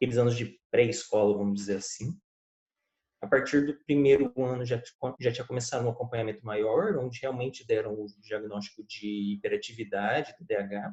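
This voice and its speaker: A somewhat breathy man's voice at medium pitch and a fairly quick pace. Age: 20s. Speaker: lawyer. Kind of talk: interview.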